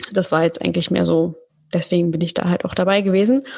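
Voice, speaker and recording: Somewhat breathy, a woman's medium-pitched voice moves with ordinary pitch variation. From Berlin, Germany. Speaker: podcast agency founder. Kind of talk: casual interview chat.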